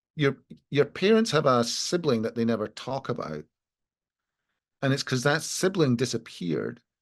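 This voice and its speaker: Speaking in a Scottish accent at a moderate pace, a man uses medium pitch with very wide pitch swings and vocal fry. Long, frequent pauses break up his speech over a quiet background. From Scotland. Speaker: lawyer. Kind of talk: panel discussion. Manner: halting.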